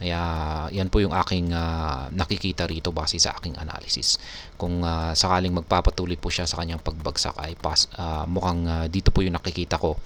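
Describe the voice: A man speaks at a moderate pace in a low pitch. His tone is fairly bright and his intonation fairly even.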